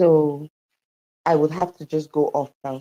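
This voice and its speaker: A quiet woman speaks in a very deep, low pitch with a dark, mellow tone. Her intonation is flat and monotone, and the sound is dry and close with no echo. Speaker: campaign team member. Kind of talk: brief remarks in live audio room. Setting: stepped out of a meeting, earphones. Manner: hushed.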